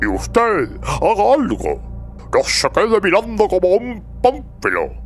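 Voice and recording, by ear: A put-on character voice at a slow pace, with very wide pitch swings and faint music in the background.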